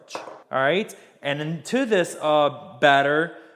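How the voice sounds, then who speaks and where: The voice carries an upbeat tone. It comes with a Southern US accent. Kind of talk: casual cooking tutorial talk to camera. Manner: casual, chatty, upbeat.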